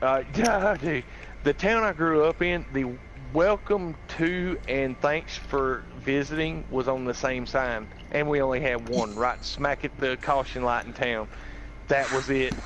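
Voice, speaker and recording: A man with a Southern US accent speaks at a fairly slow pace over noticeable background noise. His pitch is medium with ordinary variation, and his loudness stays very even. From US South, rural North Carolina. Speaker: gaming streamer. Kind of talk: casual chat. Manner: halting.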